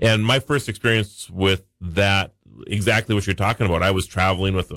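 A man with a North Dakota accent speaks at a very deep, low pitch with fairly even intonation. The recording is very clean and silent in the background, with a dry, close sound and no echo. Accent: Upper Midwest (North Dakota). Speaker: regular tech and national-days contributor. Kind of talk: casual radio chat.

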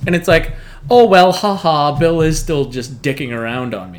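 A man with a Canadian accent and an ordinary speaking voice, fairly high in pitch, with lively intonation at a moderate pace. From northern Canada. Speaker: guest co-host. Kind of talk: casual chat.

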